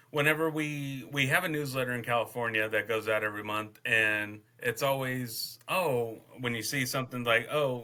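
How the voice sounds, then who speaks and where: A man with an American accent talks at a medium pitch. His tone is bright and sharp, his intonation fairly even. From Texas, Temple. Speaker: podcast host, veteran. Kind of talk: casual interview chat. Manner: halting, many fillers.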